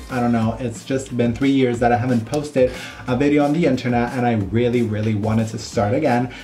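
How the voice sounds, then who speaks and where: A man at medium pitch and very fast pace, with audible room echo. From Italy (Rome). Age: 20s. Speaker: makeup artist and beauty YouTuber. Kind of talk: makeup tutorial vlog. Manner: animated.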